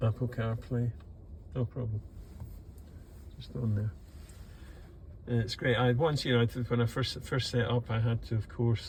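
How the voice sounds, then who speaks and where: With a Scottish accent, a man speaks at a medium pitch in a somewhat breathy voice, with ordinary pitch variation and long, frequent pauses. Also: moderate pace. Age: old. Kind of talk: casual talk to camera.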